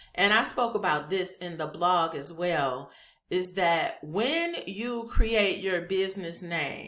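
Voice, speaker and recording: Loud speech with a bright, sharp tone moves at a very slow pace. The pitch varies in an ordinary way, with audible room echo. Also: woman, medium pitch for a woman. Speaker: YouTuber teaching government contracting. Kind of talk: tutorial. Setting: home office being set up. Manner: casual, chatty.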